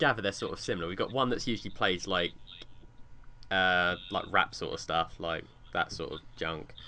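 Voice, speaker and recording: The speaker is a man with a southern English accent. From England. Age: 20s. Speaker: podcast co-host. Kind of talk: casual chat.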